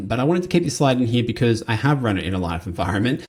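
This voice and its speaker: A man with an Australian accent talks at a very fast pace and a medium pitch. His voice is somewhat breathy, with very wide pitch swings. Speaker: compensation consultant. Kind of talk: conference presentation. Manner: casual and conversational.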